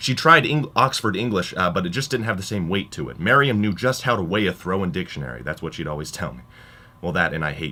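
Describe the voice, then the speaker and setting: Very fast speech from a man, very deep and low in pitch with very wide pitch swings, vocal fry and a bright, sharp tone, on a very clean recording with a silent background. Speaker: college radio DJ. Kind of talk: radio monologue with comedic storytelling.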